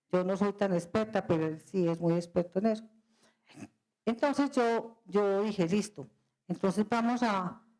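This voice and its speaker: A woman's dark, mellow tone at a medium pitch. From Colombia, Medellín. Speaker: company president. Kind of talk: guest lecture.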